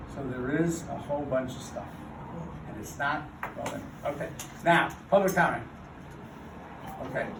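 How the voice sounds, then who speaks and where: A man talks with ordinary pitch variation, big swings in loudness, and long, frequent pauses. Noticeable background noise and audible room echo fill the recording. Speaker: neighborhood council president chairing meeting. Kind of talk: heated public meeting debate.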